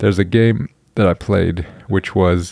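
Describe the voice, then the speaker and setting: A man's relaxed, dark, mellow voice, fairly low in pitch, at a fairly slow pace with ordinary pitch variation. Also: dry, close sound with no echo, very clean recording, silent background. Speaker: solo podcast host. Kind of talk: casual solo monologue. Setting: home recording, late evening.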